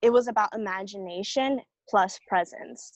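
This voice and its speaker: A woman with an unremarkable speaking voice and ordinary pitch variation speaks at a fairly slow pace, recorded with a dry, close sound and no echo. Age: 20s. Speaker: actor. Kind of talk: casual chat.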